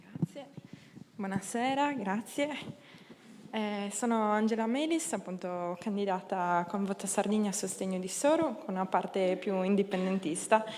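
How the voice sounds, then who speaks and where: A woman talks fairly slowly at a medium pitch, her pitch varying in an ordinary way. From Sardinia, Tortolì (Ogliastra). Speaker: political candidate. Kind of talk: campaign speech.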